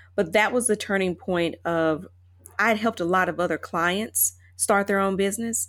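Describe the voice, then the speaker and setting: A woman with an American accent and a plain, everyday voice, at a moderate pace with fairly even intonation. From US South, Chattanooga, Tennessee. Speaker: attorney, actress and author. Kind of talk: interview conversation.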